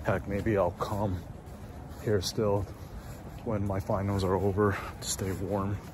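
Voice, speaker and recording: In a fairly low, monotone, flat voice, a man speaks with long, frequent pauses, the sound dry with no echo and noticeable background noise behind it. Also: fairly slow pace. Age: 30s. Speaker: student vlogger. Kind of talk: video diary monologue. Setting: campus library at night. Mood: relieved, reflective.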